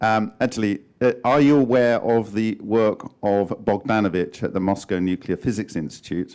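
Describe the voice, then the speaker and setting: A man with an unremarkable speaking voice talks at a moderate pace and fairly low pitch, with ordinary pitch variation and hardly any pauses. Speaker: conference attendee researcher. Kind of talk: conference Q&A.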